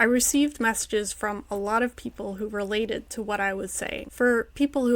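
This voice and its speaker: In an ordinary speaking voice, a woman talks at a fairly quick pace with a fairly high pitch and fairly even intonation. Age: 30s. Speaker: writer and newsletter publisher. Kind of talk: personal essay read to camera.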